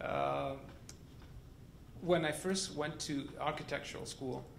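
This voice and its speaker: Audible room echo around a man's fairly slow delivery. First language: not English. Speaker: architect. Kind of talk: panel discussion.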